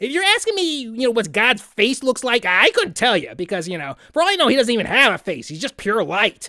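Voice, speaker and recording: A cartoonish character voice, fairly high in pitch, at a fairly quick pace. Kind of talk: comedic parody interview answers to camera. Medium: puppet. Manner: casual, sarcastic.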